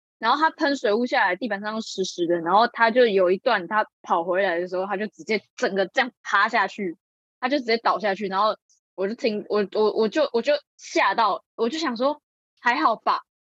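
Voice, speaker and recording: In a normal speaking voice, a woman with a fairly high pitch uses lively intonation, heard in a dry, close sound with no echo. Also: moderate pace. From Taiwan, Changhua. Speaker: acting student. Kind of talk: casual chat.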